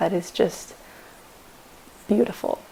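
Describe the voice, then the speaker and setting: Over noticeable background noise, a woman speaks quietly. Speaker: vlogger and powerlifter. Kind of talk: casual vlog talk. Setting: at home on the couch.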